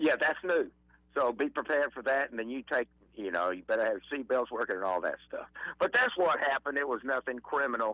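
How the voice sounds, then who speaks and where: A man with an Alabama accent speaks at a fairly quick pace with lively intonation. His tone is bright and sharp, with a dry, close sound and no echo. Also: fairly high pitch for a man. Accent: Southern US (Alabama). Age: 70s. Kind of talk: casual chat.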